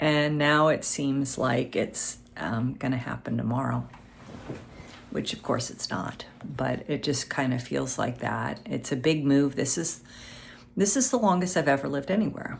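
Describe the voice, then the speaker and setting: Speaking at a fairly slow pace, a woman has a very deep, low voice with vocal fry and ordinary pitch variation. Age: 60s. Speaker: vlogger. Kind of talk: personal vlog monologue. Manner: hesitant, many fillers.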